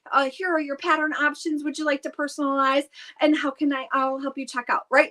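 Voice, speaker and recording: A woman with a high pitch projects a raised voice in a bright, sharp tone with ordinary pitch variation, the sound dry and close with no echo. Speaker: direct sales consultant hosting live stream. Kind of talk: live stream chat. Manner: loud; excitable, animated.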